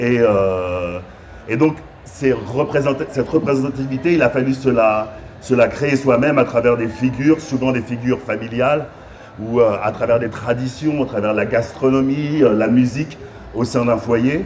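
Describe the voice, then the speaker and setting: Noticeable background noise sits behind the voice. A man talks at a fairly slow pace with a medium pitch and ordinary pitch variation. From France. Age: 60s. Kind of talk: panel discussion. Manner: hesitant, many fillers.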